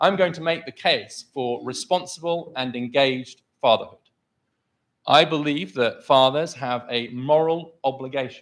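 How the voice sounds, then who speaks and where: A loud male voice against a quiet background. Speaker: policy scholar and author. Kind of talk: debate opening statement.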